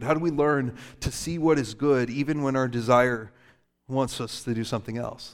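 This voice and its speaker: Moderately paced speech from a man, medium in pitch with ordinary pitch variation, on a very clean recording with a silent background. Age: 30s. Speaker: pastor. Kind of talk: sermon.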